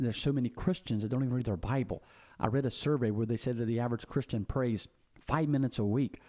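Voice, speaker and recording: A medium-pitched man with a Southern US accent and a dark, mellow tone, talking at a very fast pace with ordinary pitch variation. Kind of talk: casual monologue on faith and politics. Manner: halting, many fillers and repetitions.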